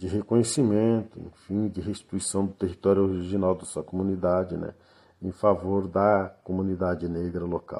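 A man talks at a moderate pace with a fairly low pitch. His tone is dark and mellow, and his intonation is fairly even. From southern Brazil, Rio Grande do Sul countryside. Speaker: quilombola community leader and activist. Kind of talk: interview answers, historical account. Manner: halting, many filler words.

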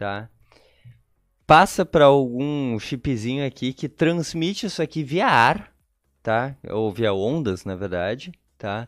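Very wide pitch swings mark this very slow delivery, broken by long, frequent pauses, in a dry, close sound with no echo and a very clean recording with a silent background. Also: man, medium pitch for a man. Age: 30s. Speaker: tech entrepreneur. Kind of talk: casual interview.

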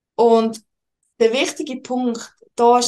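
A woman speaks at a very slow pace in a Swiss German accent. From Switzerland, Lucerne. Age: 20s. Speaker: financial advisor. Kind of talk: interview.

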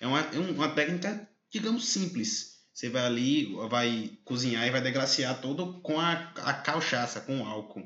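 A man speaks with very wide swings in pitch. He keeps a moderate pace. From southern Bahia, Brazil. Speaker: podcast host. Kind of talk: interview.

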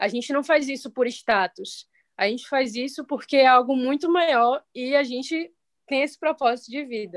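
At a moderate pace and a high pitch, a woman is heard in a dry, close sound with no echo. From Salvador, Bahia, Brazil. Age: 20s. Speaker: city council candidate. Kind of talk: political discussion.

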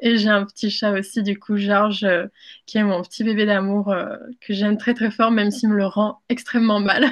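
A woman's monotone, flat delivery at very even loudness. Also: medium pitch for a woman, moderate pace. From moved between countries as a child, born in Mexico. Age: 20s. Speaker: content creator. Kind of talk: interview.

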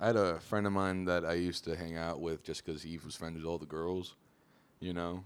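Here is a man with an American accent and a very deep, low pitch. He speaks in a monotone, flat way. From Pennsylvania, Harrisburg area. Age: 20s. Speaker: comedian. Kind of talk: casual chat. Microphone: not coming in at first, level issues.

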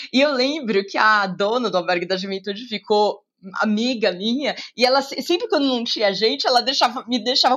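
A woman's high-pitched voice at a moderate pace. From Brazil, São Paulo city. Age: 40s. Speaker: journalist and TV presenter. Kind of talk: casual interview.

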